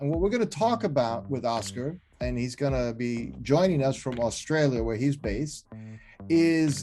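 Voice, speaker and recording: Music plays in the background while a man talks at a moderate pace. His pitch sits at a medium level, and his intonation is lively. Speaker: podcast host. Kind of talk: podcast intro.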